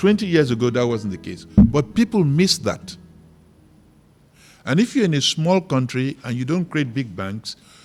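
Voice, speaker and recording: A man's fairly high voice with very wide pitch swings, moderate pace and long, frequent pauses, music in the background. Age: 70s. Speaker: business leader. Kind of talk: fireside chat.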